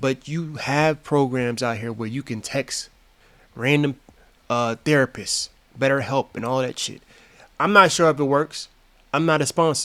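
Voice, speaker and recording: Speaking with an American accent, a man with a fairly high pitch and a bright, sharp tone moves at a moderate pace with long, frequent pauses and ordinary pitch variation, in a dry, close sound with no echo. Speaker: YouTube commentator. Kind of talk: reaction commentary. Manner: casual, profane, halting.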